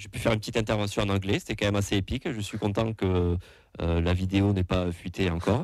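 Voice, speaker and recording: A man speaks at a fairly quick pace with a slight southwestern French accent. His pitch is fairly low, with ordinary variation. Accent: slight southwest French. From southwest France. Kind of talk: casual chat. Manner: halting, many fillers.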